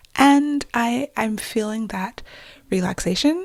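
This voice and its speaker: A somewhat breathy woman talks with lively intonation. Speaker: fantasy and romance author, podcast host. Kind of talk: solo podcast monologue. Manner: casual, conversational.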